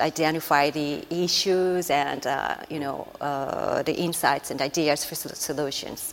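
A woman's fairly low voice in a Japanese accent, at a fairly slow pace with monotone, flat intonation. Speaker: strategic planner. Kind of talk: panel discussion.

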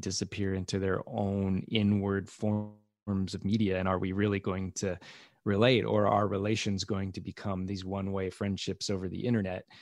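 With an American accent, a man in a plain, everyday voice talks at a fairly low pitch and moderate pace against a quiet background. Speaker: podcast producer and comedian. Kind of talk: casual interview chat.

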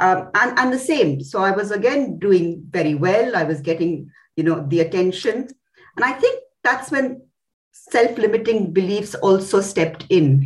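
A woman's lively intonation comes through in a somewhat breathy voice. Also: medium pitch for a woman. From India. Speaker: company CEO. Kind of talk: interview. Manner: halting.

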